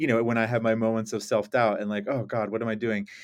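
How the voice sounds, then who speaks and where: A man's voice, an ordinary speaking voice, pitched medium and delivered at a fairly quick pace. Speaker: podcast host. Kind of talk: casual chat. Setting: studio.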